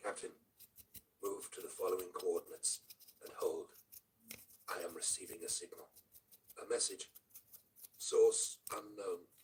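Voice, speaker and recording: In a put-on character voice with an extremely high pitch, a man sounds strained, talking at a moderate pace broken by long, frequent pauses. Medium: read story. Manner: formal, detached.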